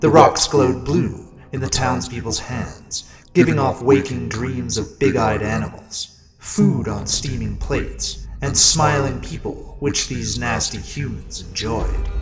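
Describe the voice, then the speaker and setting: Putting on a raspy character voice, a man speaks at a fairly slow pace. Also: medium pitch for a man. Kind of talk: horror storytelling. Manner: relishing, sinister.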